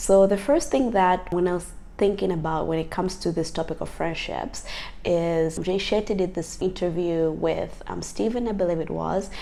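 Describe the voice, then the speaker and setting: A woman with a fairly low pitch and ordinary pitch variation speaks at a moderate pace in audible room echo. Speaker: lifestyle vlogger. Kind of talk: casual talk to camera. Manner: conversational, lots of fillers.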